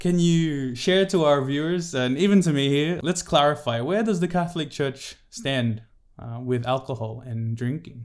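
Lively intonation marks a man's unremarkable speaking voice, which sits fairly high in pitch at a moderate pace on a very clean recording with a silent background. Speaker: podcast host. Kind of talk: casual interview chat.

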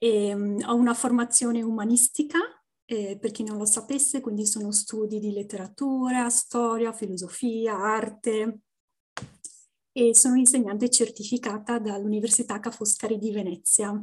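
Fairly high in pitch and somewhat breathy, a woman talks at a moderate pace with fairly even intonation. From Venice, Italy. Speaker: Italian teacher, language content creator. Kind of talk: podcast interview.

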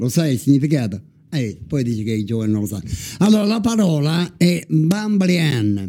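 With a dark, mellow tone and a fairly high pitch, a man talks at a moderate pace as his pitch swings very widely. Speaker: radio guest. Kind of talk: casual chat. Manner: loud.

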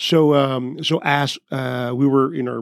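A man with a Honduran accent. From Honduras, Tegucigalpa. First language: Spanish. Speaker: pastor and missionary. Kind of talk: interview. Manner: halting, hesitant, repeats words.

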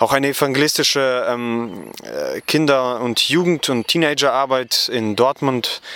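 Against noticeable background noise, a man speaks fairly slowly at medium pitch with ordinary pitch variation. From western Germany, Gummersbach near Cologne. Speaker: Bible school student. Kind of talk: interview. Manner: halting, many fillers.

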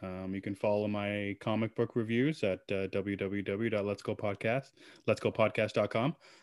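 A man with a Canadian accent speaks in a normal speaking voice, fairly low in pitch, at a moderate pace with fairly even intonation. The very clean recording has a silent background and a dry, close sound with no echo. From Canada. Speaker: podcast guest. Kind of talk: casual chat.

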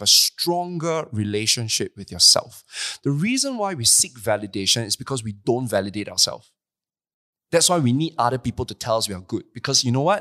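A man talks fairly quickly at a medium pitch, with very wide pitch swings and a bright, sharp tone. The recording is very clean, with a silent background and a dry, close sound without echo. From Asia. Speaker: public speaker and social media strategist. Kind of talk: interview. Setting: studio. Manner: relatable, not over the top.

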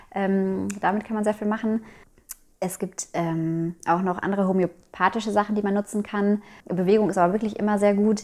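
Her voice sits at a medium pitch for a woman, and her intonation is monotone and flat. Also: moderate pace. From Germany, East Westphalia (Minden area). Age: 20s. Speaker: midwife. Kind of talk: casual interview. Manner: hesitant with many fillers.

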